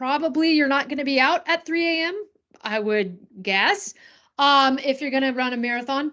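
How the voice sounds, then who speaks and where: With an American accent, a woman uses a raised, projected voice pitched high, and her intonation is lively. She keeps a moderate pace against a quiet background. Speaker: running coach. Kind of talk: presentation. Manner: casual, with many fillers.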